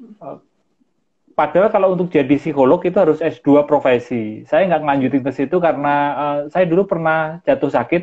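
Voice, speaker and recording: Using ordinary pitch variation, a man talks at a fairly high pitch and a moderate pace. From Central Java, Solo. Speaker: mindfulness practitioner. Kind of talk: interview. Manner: calm; halting.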